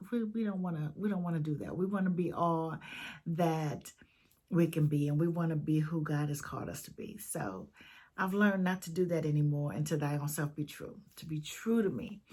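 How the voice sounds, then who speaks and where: A woman with a fairly low, dark, mellow voice speaks fairly quickly and somewhat breathily, with ordinary pitch variation and big swings in loudness. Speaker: video blogger. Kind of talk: casual vlog talk to viewers. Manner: halting, many fillers.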